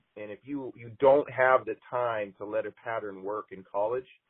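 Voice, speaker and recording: A man with a normal speaking voice and medium pitch talks at a moderate pace in an American accent. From Montana. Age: 40s. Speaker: college basketball coach. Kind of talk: interview.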